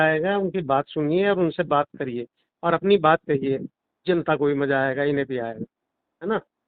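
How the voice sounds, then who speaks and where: A man's fairly high voice at a moderate pace, with ordinary pitch variation and a normal speaking voice. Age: 60s. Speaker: doctor and political organizer. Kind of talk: casual conversation.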